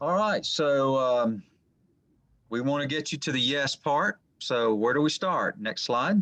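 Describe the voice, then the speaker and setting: Lively intonation from a man at a fairly high pitch, in a dry, close sound with no echo. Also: quiet background. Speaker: small business lending presenter. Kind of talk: webinar presentation. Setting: video call webinar. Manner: fast.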